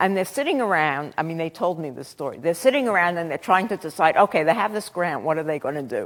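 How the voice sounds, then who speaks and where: On a very clean recording with a silent background, a fairly low-pitched woman in a Brooklyn accent talks at a very fast pace with lively intonation and hardly any pauses. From Brooklyn, New York. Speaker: professor. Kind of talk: lecture. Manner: halting, many fillers.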